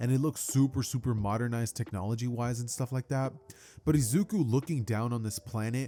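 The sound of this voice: Intonation stays fairly even throughout this unforced reading voice.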